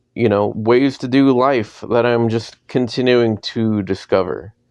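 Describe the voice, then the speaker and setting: Fairly even intonation over a quiet background. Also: man. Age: 40s. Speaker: podcast host. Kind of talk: personal monologue. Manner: casual, hesitant with fillers.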